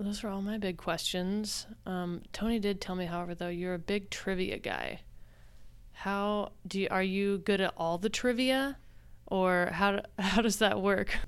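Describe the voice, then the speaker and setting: A woman with an American accent talks at a fairly slow pace. Her pitch is medium and her intonation fairly even. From Oklahoma. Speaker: podcast host. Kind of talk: interview.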